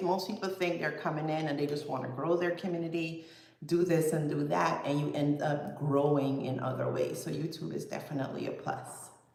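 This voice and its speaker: A woman with a Guyanese accent talks at a moderate pace, with audible room echo and noticeable background noise. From Guyana. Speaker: fitness vlogger. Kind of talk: casual livestream chat. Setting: livestream at computer.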